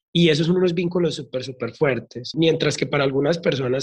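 A man's somewhat breathy voice at a fairly quick pace. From Colombia, Medellín. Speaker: drag artist and makeup teacher. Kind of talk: casual interview.

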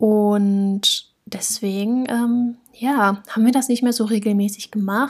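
A woman's somewhat breathy voice at a very slow pace, with fairly even intonation and very even loudness. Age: 20s. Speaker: podcast co-host, university student. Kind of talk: casual chat.

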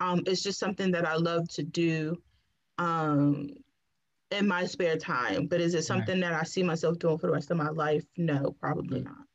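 A woman with a plain, everyday voice talks at a fairly quick pace in a fairly low pitch with ordinary pitch variation. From Washington, DC. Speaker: podcast guest, natural hair influencer. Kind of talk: casual chat.

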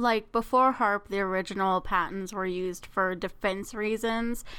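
A woman speaks at a moderate pace and medium pitch, her tone bright and sharp with ordinary pitch variation. The recording is very clean, with a silent background. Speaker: podcast host. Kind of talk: casual chat. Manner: excitable.

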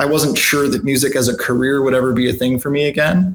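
Here is a man with an American accent and a normal speaking voice. He talks at a fairly quick pace with a medium pitch. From Michigan. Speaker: rock band guitarist. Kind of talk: casual interview chat.

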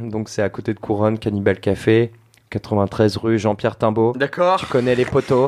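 This man has a plain, everyday voice at a medium pitch. He speaks at a fairly slow pace with fairly even intonation. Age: 30s. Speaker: bartender and youtuber. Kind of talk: casual chat.

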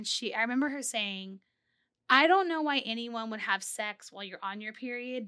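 This is an unremarkable speaking voice with an American accent. It moves at a moderate pace with lively intonation. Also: woman. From South Texas. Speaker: sex therapist and podcast co-host. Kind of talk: casual chat.

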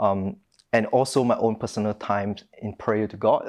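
Speaking at a moderate pace, a man uses a medium pitch and a monotone, flat intonation. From Malaysia, Penang. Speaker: international student, churchgoer. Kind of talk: casual interview, faith testimony. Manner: halting.

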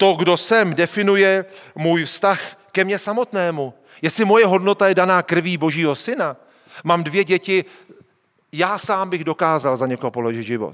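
A man's high-pitched voice with an animated tone, ordinary pitch variation and a moderate pace. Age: 40s. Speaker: pastor. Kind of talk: sermon.

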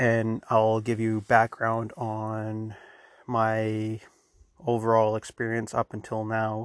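A man speaking at a very slow pace and medium pitch, with a quiet background and a dry, close sound free of echo. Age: 40s. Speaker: podcast host. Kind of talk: solo podcast intro. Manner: monotone; rambling, informal.

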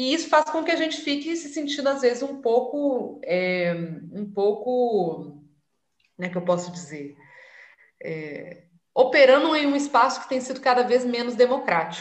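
Speaking fairly slowly in a high voice, a woman swings very widely in pitch and greatly in loudness, with audible room echo around her. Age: 30s. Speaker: city councillor and activist. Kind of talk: interview.

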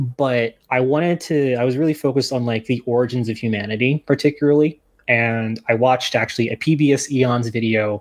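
Over a quiet background, a man with a plain, everyday voice and an American accent speaks at a medium pitch and fairly quick pace with ordinary pitch variation. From New Jersey. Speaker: archaeology PhD student and author. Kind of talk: podcast interview.

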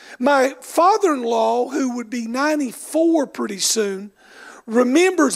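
Speaking in an Appalachian accent, a man has an extremely high pitch and ordinary pitch variation. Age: 60s. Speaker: bishop. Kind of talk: sermon. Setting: church.

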